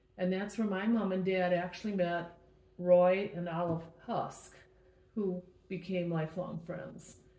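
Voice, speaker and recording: A fairly slow, monotone, flat delivery in an American accent, with audible room echo. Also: woman, medium pitch for a woman. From Milwaukee, Wisconsin. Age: 70s. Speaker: mother recalling family history. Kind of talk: family oral history interview.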